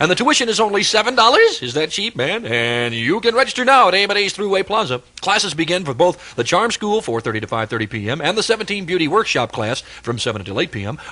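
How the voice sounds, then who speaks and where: A man with an American accent and a high pitch talks at a very fast pace. His pitch swings very widely over noticeable background noise. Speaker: radio DJ. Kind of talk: live radio commercial read. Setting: AM radio broadcast.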